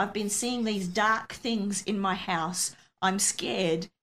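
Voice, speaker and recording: A woman's medium-pitched voice in an Australian accent, at a fairly slow pace. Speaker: missionary pastor. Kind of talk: interview testimony.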